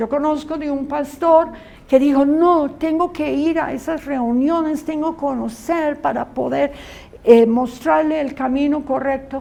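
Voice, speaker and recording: With audible room echo, a woman talks at a very slow pace in a high-pitched voice. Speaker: Bible school teacher. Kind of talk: lecture.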